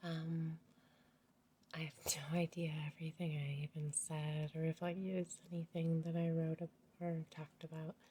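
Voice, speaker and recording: Somewhat breathy and fairly low-pitched, a woman speaks in a monotone with flat intonation. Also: moderate pace. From rural US. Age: 40s. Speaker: family vlogger. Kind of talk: casual vlog talk to camera. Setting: at home. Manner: talking quieter than usual; hesitant, many fillers.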